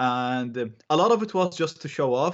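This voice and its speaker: With an Arabic accent, a man talks with lively intonation against a quiet background. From Iraq. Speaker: ethical hacker and online educator. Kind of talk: interview. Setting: remote call.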